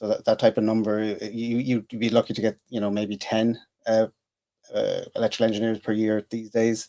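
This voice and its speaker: With an Irish accent, a man speaks at a moderate pace and medium pitch in a flat, monotone intonation. His tone is dark and mellow, and the sound is dry and close with no echo. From Ireland, Dublin and Cork. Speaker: engineer and comedian. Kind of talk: podcast interview. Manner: halting, many fillers.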